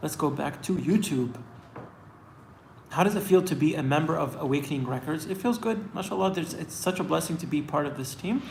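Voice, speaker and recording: A man with an American accent talks at a fairly quick pace, his pitch fairly high with ordinary variation. The recording has audible room echo and noticeable background noise. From US East Coast, Washington DC area. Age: 30s. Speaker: singer. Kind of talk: live Q&A stream. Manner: casual, filler-heavy.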